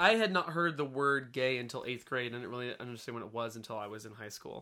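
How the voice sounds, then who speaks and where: A man with an American accent and a normal speaking voice talks at a fairly quick pace with hardly any pauses and big swings in loudness. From rural US, small town. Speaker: podcast guest. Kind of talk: casual chat.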